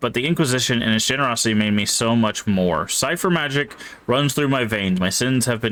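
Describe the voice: Text read aloud, plainly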